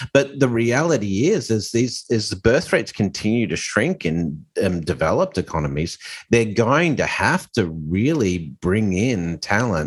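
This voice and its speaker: With an Australian accent, a man speaks at a fairly slow pace and hardly pauses, against a quiet background. His pitch is fairly low, yet it swings very widely. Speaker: podcast co-host. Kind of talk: casual chat. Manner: hesitant, many fillers.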